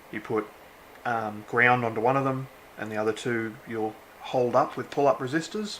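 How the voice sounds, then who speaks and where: With an Australian accent, a man talks at a medium pitch and with fairly even intonation. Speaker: electronics hobbyist. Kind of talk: casual unboxing talk to camera. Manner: casual, relaxed.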